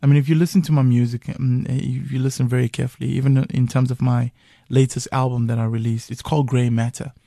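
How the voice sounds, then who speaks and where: The voice moves at a very fast pace, somewhat breathy and dark and mellow in tone, with fairly even intonation and a dry, close sound that has no echo. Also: man, medium pitch for a man. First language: Zulu. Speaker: musician. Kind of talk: radio interview. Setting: radio studio.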